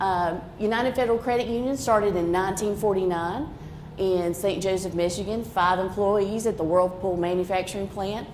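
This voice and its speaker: With a strong Appalachian accent, a woman talks at a fairly quick pace and medium pitch with ordinary pitch variation, amid audible room echo. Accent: Haywood County (Appalachian) accent, strong. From western North Carolina, Haywood County. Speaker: credit union representative. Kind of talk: presentation. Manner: casual, folksy.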